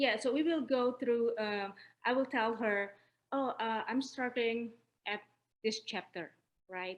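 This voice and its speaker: Speaking at a fairly slow pace with an Indonesian accent, a woman uses a fairly high pitch and ordinary pitch variation. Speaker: newly certified personal trainer. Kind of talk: interview.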